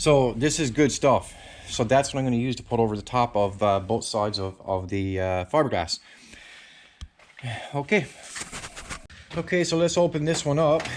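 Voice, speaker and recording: A man at a medium pitch talks at a moderate pace with lively intonation and long, frequent pauses over noticeable background noise. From Newfoundland, Canada. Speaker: DIY auto body video maker. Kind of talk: tutorial; casual chat. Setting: home garage.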